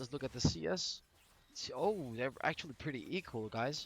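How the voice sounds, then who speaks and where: Very wide pitch swings and vocal fry in a Danish accent. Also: man. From Denmark. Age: 20s. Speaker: gaming commentator. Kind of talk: gameplay commentary. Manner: animated.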